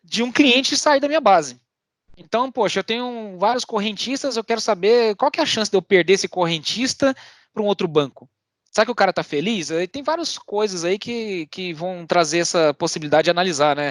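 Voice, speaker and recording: This man talks at a fairly quick pace with a high pitch and very wide pitch swings. The sound is dry and close, with no echo. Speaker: technology presenter at a tech meetup. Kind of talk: online tech talk with demo. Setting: online meetup video call. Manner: fast.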